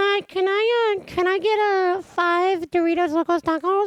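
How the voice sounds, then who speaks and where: An extremely high-pitched put-on character voice from a man at a moderate pace. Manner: funny, comedic.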